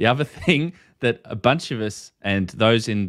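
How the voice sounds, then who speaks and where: With an Australian accent and lively intonation, a man speaks at a medium pitch. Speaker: ham radio YouTube host. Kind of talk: casual livestream discussion. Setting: video call.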